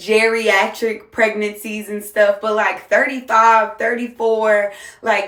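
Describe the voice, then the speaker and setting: An American accent marks this woman's voice, delivered at a moderate pace. Audible room echo surrounds it. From US South, Jacksonville, Florida. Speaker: single mom content creator. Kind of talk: casual monologue vlog.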